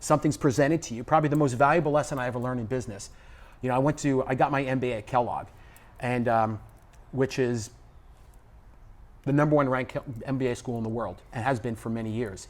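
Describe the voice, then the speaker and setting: A man with a New York accent talks at a very fast pace, his pitch medium. He leaves long, frequent pauses and keeps his intonation fairly even. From New York City, the Bronx. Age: 60s. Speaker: business executive and spiritual teacher. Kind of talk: casual interview chat. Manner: loud.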